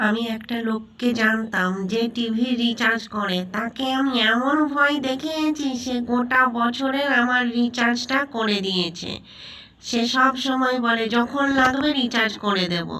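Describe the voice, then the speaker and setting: A woman speaks in a high, cartoonish character voice. Her pace is fairly slow over light background noise. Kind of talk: cartoon storytelling.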